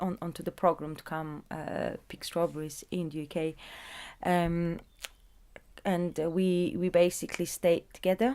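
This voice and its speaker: A woman talks at a fairly slow pace with a fairly low pitch and fairly even intonation. Her tone is dark and mellow. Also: big swings in loudness. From southern Bulgaria, small agricultural town. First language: Bulgarian. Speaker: interviewee, migrant. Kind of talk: oral history interview. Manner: halting, many fillers.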